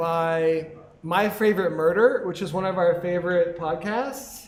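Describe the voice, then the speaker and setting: A man mumbles at a fairly slow pace. Room echo is audible. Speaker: podcast co-host. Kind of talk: live podcast chat. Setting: live recording with audience at a venue. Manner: mumbling.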